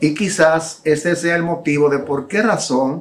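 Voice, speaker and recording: A man talks very slowly in a fairly high register. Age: 60s. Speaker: preacher. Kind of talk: sermon.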